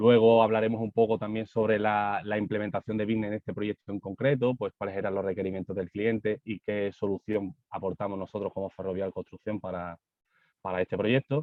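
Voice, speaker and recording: A man's fairly low voice in a Spanish accent, fairly quick and fairly even in intonation. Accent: Spanish (Spain). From Spain. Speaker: architect, construction digitalization manager. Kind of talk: conference presentation. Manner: halting, many fillers and repetitions.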